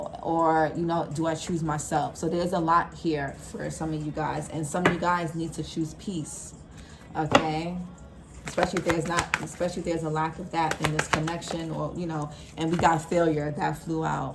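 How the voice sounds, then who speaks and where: Flat, monotone intonation amid audible room echo and noticeable background noise. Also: woman, fairly low pitch for a woman. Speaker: tarot reader. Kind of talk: tarot reading. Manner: fast; casual.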